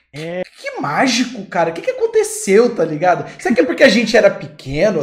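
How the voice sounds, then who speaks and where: The intonation is lively and the pace fairly quick. Noticeable background noise runs underneath. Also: man. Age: 20s. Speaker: gaming YouTuber and podcast host. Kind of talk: casual chat. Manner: animated.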